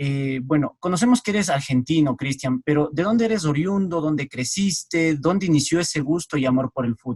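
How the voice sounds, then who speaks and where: In a dry, close recording with no echo, a man talks at a fairly quick pace with hardly any pauses. His voice is somewhat breathy and fairly high, with lively intonation. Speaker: sports interviewer. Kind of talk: interview.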